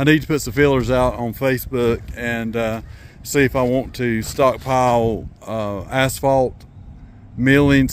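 Over light background noise, a man speaks in a monotone, flat intonation at a moderate pace, the sound dry with no echo. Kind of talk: casual vlog chat. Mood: relaxed, pleased. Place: open country. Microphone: phone near.

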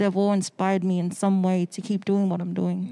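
Her voice has a medium pitch for a woman and a dark, mellow tone. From Australia (Sydney), born in the Cook Islands. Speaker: photographer; podcast guest. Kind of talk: casual chat. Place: studio. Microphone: handheld.

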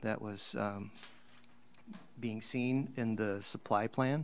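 Fairly slow, fairly low-pitched speech from a man. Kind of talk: presentation to a council. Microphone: video call.

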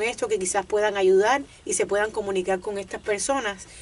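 A woman with a fairly high pitch speaks at a fairly quick pace in a monotone, flat intonation. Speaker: radio co-host. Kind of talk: radio show call-in guest conversation. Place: studio. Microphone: studio mic.

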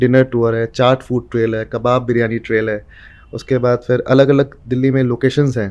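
A man at a medium pitch, monotone and flat in intonation. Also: moderate pace. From Bihar, India (Muzaffarpur); Bihar, India. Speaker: food storyteller, food tour founder; food storyteller. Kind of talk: casual interview. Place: studio. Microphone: studio mic.

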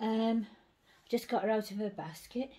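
A woman's somewhat breathy voice comes across in a monotone, flat intonation. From England. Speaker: doll collector vlogger. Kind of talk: casual chat. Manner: hesitant, filler-heavy. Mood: warm, doting. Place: home room. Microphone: phone near.

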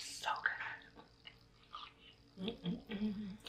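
A woman's voice comes with light noise in the background. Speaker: mukbang / eating show host. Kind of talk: casual talk to camera. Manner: soft-spoken. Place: home room. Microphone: phone near.

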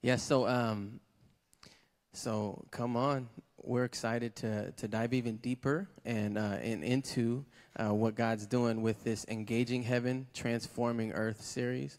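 A man with a medium-pitched voice, an ordinary speaking voice, fairly slow in pace and fairly even in intonation. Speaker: church service host. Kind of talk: church announcements. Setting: church with congregation.

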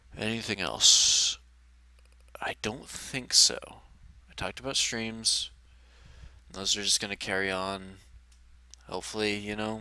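A man's fairly low voice with a bright, sharp tone, at a fairly slow pace with long, frequent pauses, fairly even intonation and big swings in loudness, in a dry sound with no echo over a quiet background. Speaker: gaming YouTuber. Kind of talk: personal vlog update. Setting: face cam video. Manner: halting; low-energy. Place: home room. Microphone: headset.

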